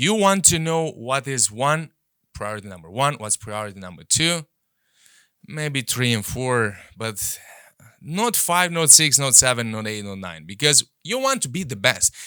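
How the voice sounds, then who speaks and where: In a very clean recording with a silent background, a man with a non-native accent speaks at a medium pitch in a bright, sharp tone, with very wide pitch swings and big swings in loudness. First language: not English. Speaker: podcast host and coach. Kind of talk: motivational podcast monologue. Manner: repetitive, hesitant restarts.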